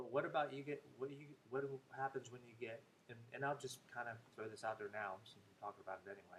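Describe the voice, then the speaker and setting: A man at a very fast pace with ordinary pitch variation and big swings in loudness. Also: medium pitch for a man. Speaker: vlogger. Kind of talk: casual monologue to camera. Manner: hesitant, many fillers.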